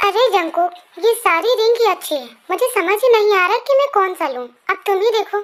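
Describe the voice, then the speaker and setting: A woman's put-on character voice, extremely high-pitched and very fast. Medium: read story. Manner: mixes English phrases, sassy.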